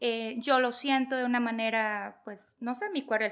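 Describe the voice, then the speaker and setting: The woman has a fairly high pitch. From Venezuela. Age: 40s. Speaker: holistic therapist. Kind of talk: casual chat.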